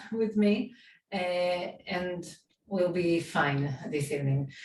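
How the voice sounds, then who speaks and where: A woman's very slow, somewhat breathy speech with lively intonation and audible room echo. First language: Hebrew. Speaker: theater organization founder. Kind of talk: panel talk.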